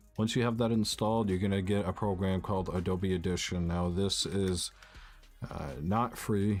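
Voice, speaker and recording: A man's very deep, low voice at a moderate pace, fairly even in intonation, with music in the background. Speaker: gaming YouTuber. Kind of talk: tutorial. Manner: casual, filler-heavy.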